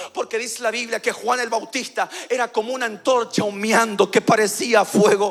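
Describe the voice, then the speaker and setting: Animated and extremely high-pitched, a man talks with hardly any pauses. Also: moderate pace. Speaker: pastor. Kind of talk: sermon.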